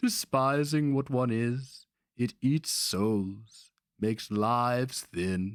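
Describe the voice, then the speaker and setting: Speaking very slowly in a put-on character voice, a man uses a medium pitch with ordinary pitch variation and a hissing sound. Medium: read story. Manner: hissing, insinuating.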